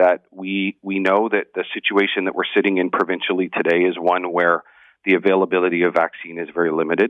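This man has a Canadian accent and a fairly low pitch. He talks at a fairly quick pace. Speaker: fire chief and emergency management head. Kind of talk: radio interview. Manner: halting.

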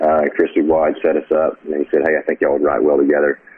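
Noticeable background noise sits behind the speaker. A man talks at a fairly quick pace. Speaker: songwriter and author. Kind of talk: casual interview chat. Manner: halting, repeats words.

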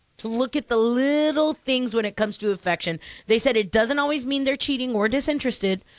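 A woman speaks fairly quickly in an animated tone, high-pitched with ordinary pitch variation, in a very clean recording with a silent background and a dry, close sound with no echo. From Mexican heritage. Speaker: radio host. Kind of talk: morning radio chat.

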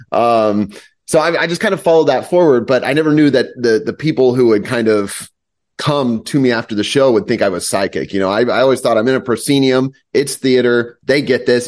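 A man with an American accent has an ordinary speaking voice, speaking at a fairly quick pace with a medium pitch and ordinary pitch variation. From US Midwest, southeast Kansas. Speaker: mentalist. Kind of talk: casual chat.

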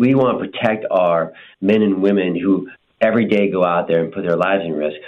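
Fairly low in pitch, a man talks at a fairly quick pace with ordinary pitch variation. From Montana, Marine Corps family. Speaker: prosecutor running for county attorney. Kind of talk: interview. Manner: halting, many fillers.

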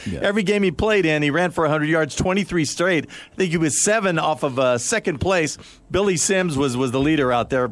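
With a fairly high pitch and an unremarkable speaking voice, a man talks at a fairly quick pace with ordinary pitch variation and very even loudness. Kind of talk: live radio sports show anchoring with game updates and score reports. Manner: relaxed, conversational, filler-heavy, chatty.

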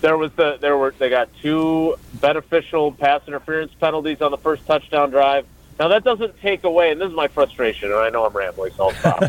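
A man's fairly high-pitched, fairly quick voice with an American accent and lively intonation, an ordinary speaking voice. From Wisconsin, Milwaukee area. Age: 50s. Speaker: sports reporter. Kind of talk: casual chat.

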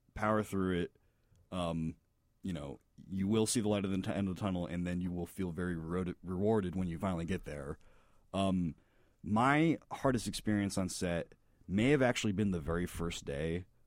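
In a very clean recording with a silent background, a man with an American accent speaks at a moderate pace in a very deep, low pitch with ordinary pitch variation. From Florida. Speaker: comedy filmmaker. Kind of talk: casual chat.

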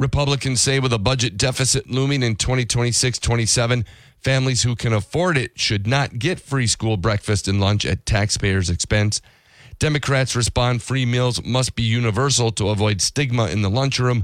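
Here is an unremarkable speaking voice from a man, medium in pitch, with ordinary pitch variation and very even loudness at a moderate pace. The recording is very clean, with a silent background. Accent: American. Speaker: radio newsreader. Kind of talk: radio newscast, read from script in a steady, polished news-anchor delivery. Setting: radio studio. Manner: formal, even-paced and businesslike, rattling off figures and headlines crisply.

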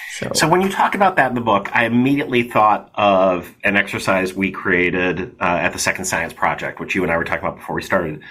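The speech moves at a very fast pace with hardly any pauses and ordinary pitch variation. Noticeable background noise runs underneath. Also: man, fairly low pitch for a man. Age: 50s. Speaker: podcast host. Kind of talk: interview.

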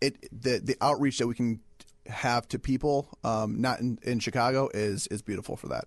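Dry and close with no echo, a man's plain, everyday voice comes at a medium pitch and a moderate pace with fairly even intonation. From Michigan. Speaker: real estate agent. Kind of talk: casual chat.

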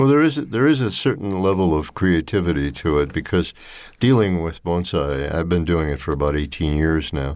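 This is a man speaking with an American accent. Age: 80s+. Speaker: retired architect and volunteer reader. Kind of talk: interview. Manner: halting, many fillers.

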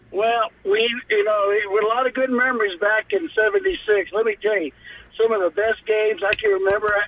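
With noticeable background noise, a man of high pitch speaks at a moderate pace with very even loudness and ordinary pitch variation. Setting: phone call.

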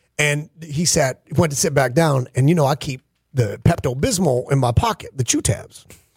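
Somewhat breathy, a man talks at a moderate pace and a fairly high pitch with ordinary pitch variation, in dry, close sound with no echo. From upstate New York. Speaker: radio host. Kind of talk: casual banter on a sports radio show. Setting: radio studio.

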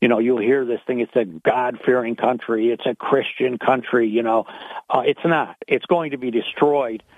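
Here is a man with a plain, everyday voice, medium in pitch. He talks at a moderate pace with fairly even intonation. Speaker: caller. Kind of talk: casual talk radio call. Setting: phone call.

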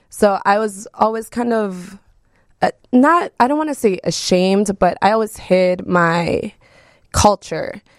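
A woman in a General American accent, medium in pitch with ordinary variation, with a dry, close sound and no echo. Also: fairly slow pace. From Mexico, raised in Wisconsin. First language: Spanish. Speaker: DJ. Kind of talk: casual interview.

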